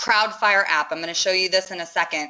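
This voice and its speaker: Energetic and enthusiastic, a woman speaks with ordinary pitch variation. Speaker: webinar presenter, social media marketing consultant. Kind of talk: webinar presentation with live demo. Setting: online webinar. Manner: fast; energetic, enthusiastic.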